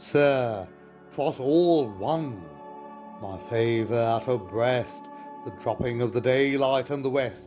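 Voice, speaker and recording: Music plays in the background while a man with a medium pitch speaks at a very slow pace using lively intonation. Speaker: poetry reciter. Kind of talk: poetry reading.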